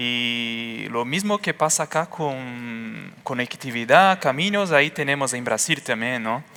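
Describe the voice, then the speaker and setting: A man with a Portuguese accent talks at a very slow pace, yet with hardly any pauses. His medium pitch, bright, sharp tone and lively intonation come through in a very clean recording with a silent background. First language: Portuguese (speaking Spanish). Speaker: engineer. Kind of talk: conference talk. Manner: halting.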